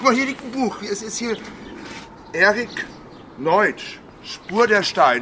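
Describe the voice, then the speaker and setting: Amid noticeable background noise, a man speaks at a very slow pace with long, frequent pauses. His pitch is high and his intonation lively. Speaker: podcast co-host. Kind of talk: casual chat. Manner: loud.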